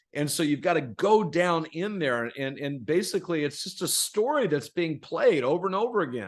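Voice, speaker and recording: A plain, everyday voice of a man with an American accent, lively intonation and a moderate pace, against a quiet background. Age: 60s. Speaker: author and performance coach. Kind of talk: podcast interview. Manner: repetitive false starts.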